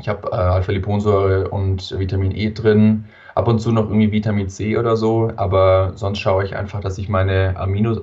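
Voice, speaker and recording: Delivery is monotone, with flat intonation and a dark, mellow tone. It sounds somewhat breathy and moves at a moderate pace. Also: man, fairly low pitch for a man. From southern Germany, Allgäu (Wangen). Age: 20s. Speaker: entrepreneur, biohacker. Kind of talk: interview.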